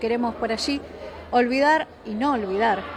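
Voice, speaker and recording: A woman's fairly high voice holds fairly even intonation while noticeable background noise runs behind it. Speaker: local media interviewer. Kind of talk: interview. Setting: cultural centre after a talk.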